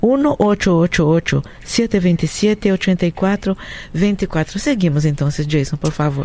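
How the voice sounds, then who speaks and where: With a Portuguese accent, a woman speaks very slowly at a fairly low pitch, her intonation lively and her loudness very even. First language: Portuguese (speaking Spanish). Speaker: radio co-host. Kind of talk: radio call-in show hosting.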